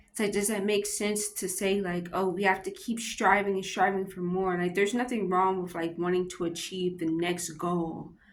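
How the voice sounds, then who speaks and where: The intonation is fairly even, and audible room echo fills the recording. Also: woman. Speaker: vlogger doing a Bible devotional reading. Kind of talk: casual reflective commentary on a book. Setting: public library. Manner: halting, with self-corrections and fillers.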